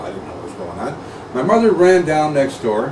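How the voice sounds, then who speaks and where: Amid noticeable background noise and audible room echo, a man with a fairly high pitch talks fairly quickly with very wide pitch swings. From England, Nottingham. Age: 50s. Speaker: radio host. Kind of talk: casual chat.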